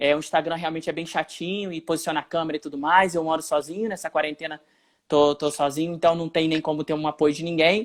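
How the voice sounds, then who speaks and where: A man talks very fast at a fairly high pitch, his intonation flat and monotone. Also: very clean recording, silent background. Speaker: journalist and youtuber. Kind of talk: live stream interview. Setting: Instagram live video, home alone.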